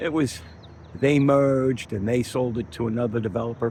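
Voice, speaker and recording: Fairly quick in pace, this voice carries a somewhat breathy quality. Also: man. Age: 60s. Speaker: chief engineer and channel owner. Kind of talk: casual first-person video monologue.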